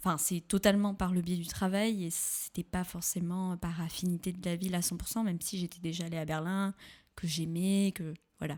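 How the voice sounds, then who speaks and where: On a very clean recording with a silent background, a woman speaks at a moderate pace in a monotone, flat intonation with a fairly low pitch. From southwestern France, Pau. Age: 20s. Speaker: podcast guest. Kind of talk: casual interview. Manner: hesitant, many fillers.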